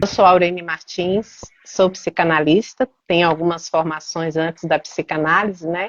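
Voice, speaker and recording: A woman with an unremarkable speaking voice and a fairly low pitch speaks at a fairly slow pace with fairly even intonation, in a dry, close sound with no echo. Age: 50s. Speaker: psychoanalyst. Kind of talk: casual chat.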